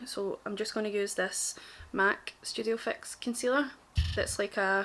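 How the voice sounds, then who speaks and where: A woman speaks at a moderate pace with a strong Glaswegian accent. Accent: thick Glaswegian. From Glasgow, Scotland. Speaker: makeup artist. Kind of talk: casual makeup tutorial talk to camera.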